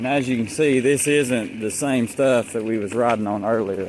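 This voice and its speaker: A man speaks at a medium pitch with fairly even intonation. Noticeable background noise runs behind him. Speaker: vlogger. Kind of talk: casual vlog narration. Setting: outdoors riding a bike on a trail. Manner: bumpy, jostled speech from rough trail; casual, rambling with fillers.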